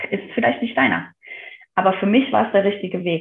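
Lively intonation from a woman at a medium pitch. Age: 30s. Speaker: kindergarten teacher and yoga teacher. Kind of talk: interview, personal testimony. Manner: hesitant, many fillers.

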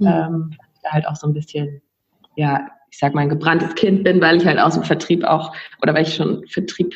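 At a moderate pace, a woman speaks in a fairly low, somewhat breathy voice with fairly even intonation and big swings in loudness. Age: 20s. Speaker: aspiring virtual assistant. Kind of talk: casual interview chat.

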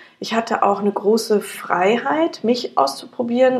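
A woman with a fairly high voice speaks at a moderate pace, her pitch swinging very widely. Noticeable background noise is present. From Germany, near Frankfurt (Hesse). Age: 40s. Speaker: company founder. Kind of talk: interview. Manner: hesitant, many fillers.

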